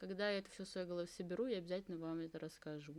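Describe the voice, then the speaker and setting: This is a woman's voice. Her pitch is medium. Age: 20s. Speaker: podcast host. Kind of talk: casual solo podcast talk. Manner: rambling with many fillers.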